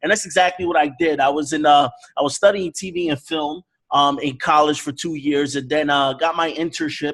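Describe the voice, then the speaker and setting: At a moderate pace, a man talks in a fairly high pitch with an ordinary speaking voice. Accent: American. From New York (the Bronx), US. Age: 30s. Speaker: forex network marketer. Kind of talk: online sales presentation.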